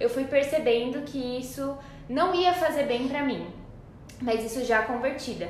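Over noticeable background noise and audible room echo, a woman with a high pitch speaks at a fairly slow pace. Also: ordinary pitch variation. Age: 20s. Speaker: podcast co-host, pedagogy student. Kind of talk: casual chat.

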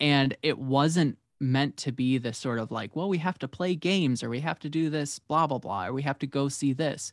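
A man with an American accent at a moderate pace, ordinary pitch variation and hardly any pauses, in a very clean, dry, close recording with a silent background and no echo. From US Midwest (Illinois). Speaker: writer. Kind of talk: casual interview chat.

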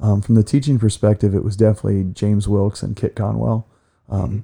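Very fast and somewhat breathy, a man with an American accent talks in a dark, mellow tone with fairly even intonation, the sound dry and close with no echo. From Ohio, US Midwest (Ashland). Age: 40s. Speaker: school counselor. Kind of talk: casual interview. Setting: studio.

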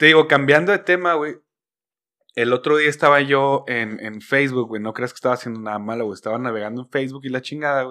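Talking at a very fast pace, a man with a Mexican accent uses a bright, sharp tone. His loudness swings widely against a quiet background. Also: medium pitch for a man, ordinary pitch variation. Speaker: podcast host. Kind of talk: casual chat. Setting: studio. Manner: animated.

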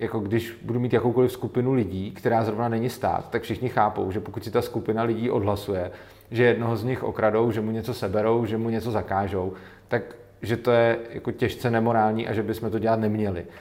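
Here a man talks at a fairly quick pace in a monotone, flat intonation. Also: medium pitch for a man. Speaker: anarcho-capitalist commentator. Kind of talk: interview. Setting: studio.

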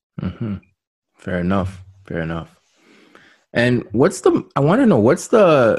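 Against a quiet background, a man with an unremarkable speaking voice and a fairly low pitch speaks at a moderate pace. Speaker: podcast host. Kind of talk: casual interview.

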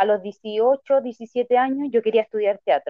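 A woman with a plain, everyday voice talks at a fairly slow pace with ordinary pitch variation. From Chile, Santiago. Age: 30s. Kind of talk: casual interview.

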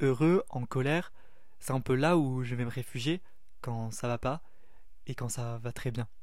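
Room echo is audible as a man speaks at a fairly slow pace with long, frequent pauses. His pitch varies in an ordinary way. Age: 20s. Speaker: student podcaster. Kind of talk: casual introductory monologue. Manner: hesitant, with fillers.

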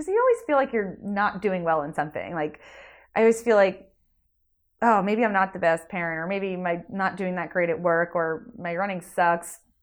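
A woman with an American accent and an unremarkable speaking voice talks at a medium pitch and moderate pace. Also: ordinary pitch variation, quiet background. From New Jersey, Jersey Shore area. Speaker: amateur marathon runner. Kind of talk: casual interview chat.

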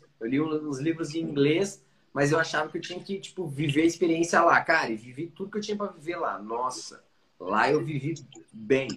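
This is an ordinary speaking voice. The pace is fairly quick. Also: man. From Curitiba, southern Brazil. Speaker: podcaster and content creator. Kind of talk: casual interview chat.

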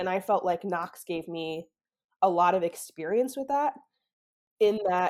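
A woman speaks at a medium pitch and moderate pace with an American accent and ordinary pitch variation. It is an unremarkable speaking voice on a very clean recording with a silent background. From US Midwest, outside Chicago. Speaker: assistant professor of animal behavior. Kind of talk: interview. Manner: casual, filler-heavy.

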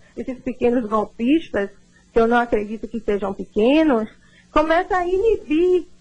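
Speaking at a fairly slow pace, a woman uses a high voice with very wide pitch swings. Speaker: lawyer. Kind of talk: radio interview.

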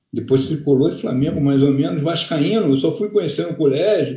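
A man's fairly high voice, dark and mellow in tone, somewhat breathy, at a fairly quick pace. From Rio de Janeiro, zona sul. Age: 50s. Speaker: football fan leader. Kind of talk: casual chat.

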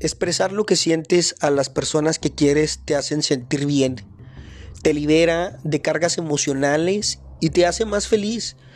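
At a fairly slow pace and very even loudness, a man with a plain, everyday voice speaks at a fairly high pitch with ordinary pitch variation. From northern Mexico, Chihuahua. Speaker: podcast host. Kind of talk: motivational monologue.

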